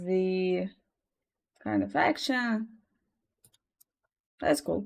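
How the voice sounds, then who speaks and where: A woman speaks with a Russian accent. Her background is quiet. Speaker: artist streamer. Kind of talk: casual chat. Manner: halting.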